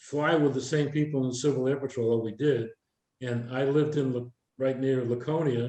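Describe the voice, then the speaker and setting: A man with a New Hampshire accent, medium pitch and fairly even intonation, at a moderate pace. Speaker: retired air traffic controller, speaker. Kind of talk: workshop Q&A talk.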